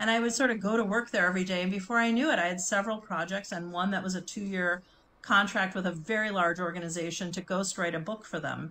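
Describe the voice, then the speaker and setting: Bright and sharp in tone, a woman speaks at a very fast pace with fairly even intonation. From US Midwest, Chicago. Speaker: branding and communications consultant; interview guest. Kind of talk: interview conversation. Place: home room.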